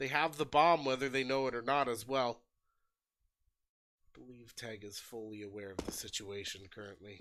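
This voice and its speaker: Speaking in an American accent, a man of medium pitch goes at a moderate pace with ordinary pitch variation, big swings in loudness, and long, frequent pauses. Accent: American twang. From United States. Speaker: esports caster. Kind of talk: live commentary. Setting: livestream. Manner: animated.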